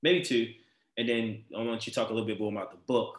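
A man with a Baltimore accent speaks at a medium pitch. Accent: Baltimore urban American English. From Baltimore, US. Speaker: podcast host. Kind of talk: casual interview conversation. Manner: animated, enthusiastic.

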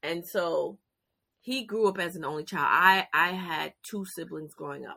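A woman's fairly low, bright, sharp voice with ordinary pitch variation, at a fairly slow pace, in a very clean recording with a silent background. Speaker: youth career program founder. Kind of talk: casual interview.

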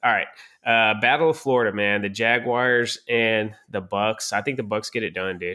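At a moderate pace and with fairly even intonation, the speaker uses an ordinary speaking voice. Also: man, medium pitch for a man. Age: 30s. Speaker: sports podcast host. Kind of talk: casual chat.

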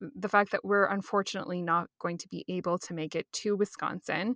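This woman has a plain, everyday voice at a medium pitch, with fairly even intonation and a dry, close sound with no echo. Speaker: podcast co-host. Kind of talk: casual chat.

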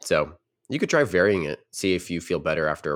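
A very fast man with vocal fry, an American accent and ordinary pitch variation, on a very clean recording with a silent background. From US South, Nashville region. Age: young. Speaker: podcast co-host and coder. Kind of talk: casual chat.

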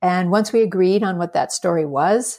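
A woman with a plain, everyday voice and an American accent, medium-pitched, with fairly even intonation. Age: 60s. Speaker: filmmaker. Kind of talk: interview.

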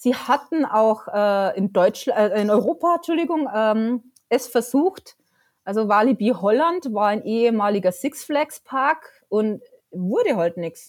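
With a Bavarian accent, a woman speaks at a fairly slow pace in a fairly high pitch with lively intonation. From Bavaria, Lower Bavaria near Dingolfing. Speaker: freelance journalist and theme park fan. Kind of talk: casual interview. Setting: at home on couch, remote call.

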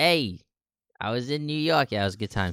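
Putting on a raspy character voice, a man at a medium pitch talks at a fairly quick pace with very wide pitch swings. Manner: casual, jokey.

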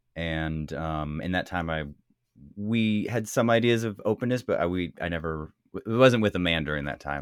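Pitch variation is ordinary in this man's voice. He talks at a moderate pace. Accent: Californian. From US West Coast, California Bay Area. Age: 40s. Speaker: interview subject of an oral history book. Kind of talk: interview. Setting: video call.

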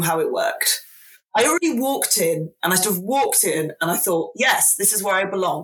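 Talking at a very fast pace, a woman uses lively intonation at a medium pitch. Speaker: podcast host and academic. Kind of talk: informal interview.

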